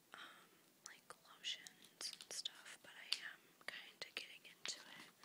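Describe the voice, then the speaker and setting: A soft-spoken whisper at a very slow pace. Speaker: beauty vlogger. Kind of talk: casual vlog chat, page-through commentary. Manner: soft ASMR whisper. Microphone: phone near.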